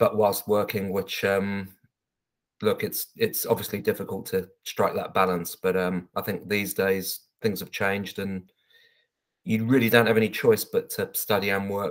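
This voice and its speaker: A man talks at a moderate pace, the background quiet. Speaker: council interviewee. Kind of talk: interview answer. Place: home room. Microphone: webcam.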